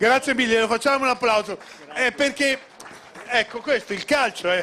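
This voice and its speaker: Noticeable background noise surrounds a man with an extremely high pitch. His voice is raised and projected, with ordinary pitch variation. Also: moderate pace. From Modena, Emilia-Romagna. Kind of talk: on-stage interview at gala.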